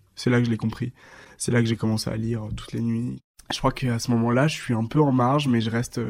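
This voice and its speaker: The man's intonation is monotone and flat. He talks fairly quickly at a medium pitch. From eastern France (Dijon, Haute-Marne countryside). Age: 20s. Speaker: magazine founder. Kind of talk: interview. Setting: at home.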